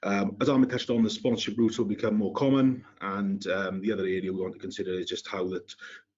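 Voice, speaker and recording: A man with a strong Welsh accent at a very fast pace. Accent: thick Welsh. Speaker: compliance consultant, webinar panelist. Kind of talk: webinar presentation. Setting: online webinar.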